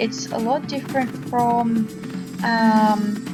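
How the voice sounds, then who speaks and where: Music plays in the background as a woman with an Australian accent speaks at a fairly high pitch. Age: young. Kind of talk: casual gameplay commentary.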